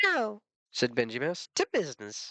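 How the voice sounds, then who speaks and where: A man's put-on character voice, high-pitched, at a moderate pace. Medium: read story. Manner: brisk, curt.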